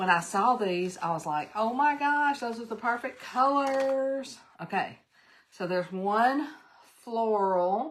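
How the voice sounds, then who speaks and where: A woman with an American accent speaks in a fairly high pitch. Her pace is very slow and her intonation lively. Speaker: crafting channel host. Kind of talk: live craft tutorial stream. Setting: live stream. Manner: animated; loud.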